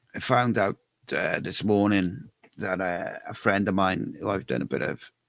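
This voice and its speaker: Very deep, low male voice with vocal fry and a Cardiff accent, fairly slow with ordinary pitch variation, in a dry, close sound with no echo. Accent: Welsh, Cardiff. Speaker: fan channel live show host. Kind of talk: casual live stream chat. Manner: quiet.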